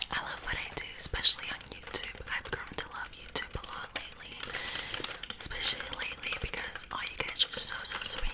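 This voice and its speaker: A woman whispering, with big swings in loudness and noticeable background noise. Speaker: ASMR YouTuber. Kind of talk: ASMR whisper ramble to camera. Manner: whispered, soft.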